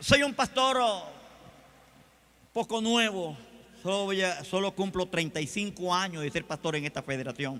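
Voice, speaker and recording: This man uses a raised, projected voice with lively intonation and a high pitch. He speaks at a fairly slow pace with long, frequent pauses. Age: 60s. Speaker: pastor. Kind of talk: sermon. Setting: convention stage with audience.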